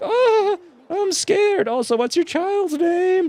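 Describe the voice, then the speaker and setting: In a put-on character voice, a man speaks at an extremely high pitch. His pace is fairly slow. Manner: fake scared.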